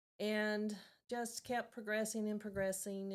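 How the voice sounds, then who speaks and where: A woman speaks with a slight Southern US accent. Her pace is moderate. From Tennessee, Chattanooga. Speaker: volunteer, retired cancer center director. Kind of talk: podcast interview. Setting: studio.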